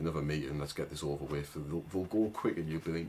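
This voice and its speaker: Over background music, a man with a strong northern English accent speaks very fast in a very deep, low voice with fairly even intonation. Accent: thick northern English. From northern England. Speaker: agency owner and online business coach. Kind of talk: casual tutorial to camera. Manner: informal, with many fillers and restarts.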